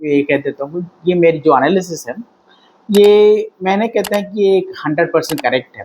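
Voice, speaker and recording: Speaking in a Tamil accent, a man with a high pitch keeps a moderate pace and ordinary pitch variation. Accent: Tamil-accented non-native Hindi. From Tamil Nadu, India. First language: Tamil (speaking Hindi). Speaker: political commentator. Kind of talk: political commentary monologue. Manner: halting, with fillers.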